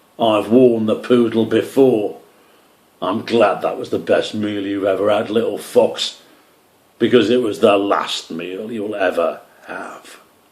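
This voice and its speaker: Speaking at a fairly slow pace, a man uses a put-on character voice that rumbles at a medium pitch. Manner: threatening, roaring.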